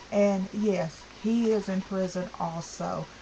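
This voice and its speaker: A woman is heard over noticeable background noise. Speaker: vlogger. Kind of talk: vlog rant. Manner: stuttering; animated.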